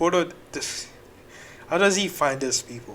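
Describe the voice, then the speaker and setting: A man talks at a fairly slow pace. His pitch makes very wide swings. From Nigeria. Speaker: reaction video creator. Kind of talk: reaction commentary.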